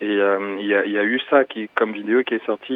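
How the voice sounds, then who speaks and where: A man speaks at a moderate pace in a normal speaking voice. His intonation stays fairly even. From Cameroon. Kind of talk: casual chat. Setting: phone call.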